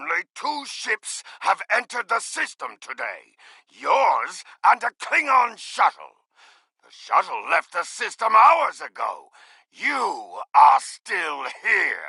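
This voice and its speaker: Putting on a character voice, a man talks fairly slowly at an extremely high pitch. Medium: video game. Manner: proud, defiant.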